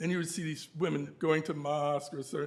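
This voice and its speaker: Words rush out at a very fast pace against audible room echo. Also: man. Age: 70s. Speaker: symposium speaker on Harlem venues. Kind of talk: conference talk with slides. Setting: university symposium. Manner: hesitant, many fillers.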